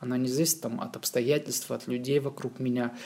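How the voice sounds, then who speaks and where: A man talks at a fairly quick pace in a dark, mellow tone. His pitch is medium and his intonation fairly even. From Moscow region, Russia. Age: 30s. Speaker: graphic designer. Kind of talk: casual chat.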